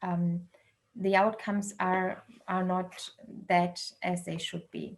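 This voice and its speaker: A very slow voice with a non-native accent and monotone, flat intonation. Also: woman, medium pitch for a woman. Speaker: researcher and dialogue facilitator. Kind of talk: online talk. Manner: halting, many fillers.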